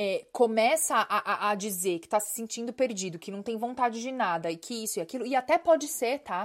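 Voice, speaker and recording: Speaking at a fairly quick pace with hardly any pauses, a woman with a fairly high pitch uses lively intonation, an animated tone and big swings in loudness, in a very clean recording with a silent background. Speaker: podcast host and life coach. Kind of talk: casual monologue.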